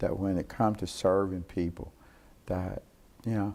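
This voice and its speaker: A man speaks in a dark, mellow tone at a moderate pace. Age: 60s. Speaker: city council member. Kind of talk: interview. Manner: halting.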